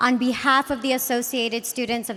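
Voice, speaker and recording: A woman talks at a moderate pace in a high pitch. Noticeable background noise runs underneath. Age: young. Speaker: student body president. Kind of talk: ceremonial speech. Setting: stage with audience.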